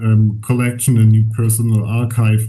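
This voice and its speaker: With a German accent, a man speaks at a medium pitch in a monotone, flat way. His tone is dark and mellow, somewhat breathy, and audible room echo surrounds it. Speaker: archivist. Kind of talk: lecture. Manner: halting, many fillers.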